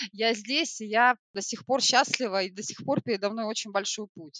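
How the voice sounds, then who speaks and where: In a plain, everyday voice, a woman speaks at a moderate pace with a fairly high pitch and ordinary pitch variation, in a dry, close sound with no echo. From Siberia, Krasnoyarsk. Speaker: retail store manager. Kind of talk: corporate podcast interview.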